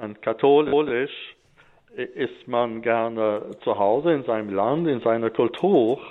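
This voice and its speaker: A man speaks very slowly at a medium pitch, his pitch varying in an ordinary way. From Alsace, France. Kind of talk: radio interview. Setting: remote connection from Stockholm.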